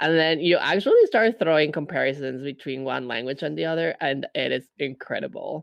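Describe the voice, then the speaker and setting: A man with a Spanish accent talks at a fairly quick pace with hardly any pauses. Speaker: podcast co-host. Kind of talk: casual chat.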